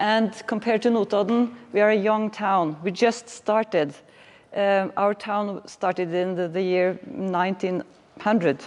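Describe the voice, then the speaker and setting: A woman speaks with a Norwegian accent at a medium pitch and ordinary pitch variation, keeping a fairly slow pace. Noticeable background noise runs through the clip. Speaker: municipal planning manager. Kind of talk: lecture. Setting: workshop presentation. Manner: halting.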